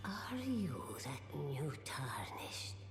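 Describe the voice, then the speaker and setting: A put-on character voice at a low-to-middle pitch and very slow pace, with clear echo and loud background noise. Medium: video game. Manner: measured, solemn.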